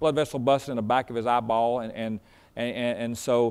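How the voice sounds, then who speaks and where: A man is talking at a fairly quick pace. His pitch varies in an ordinary way. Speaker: preacher. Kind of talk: sermon, informal story before it. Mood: warm, chatty. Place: church.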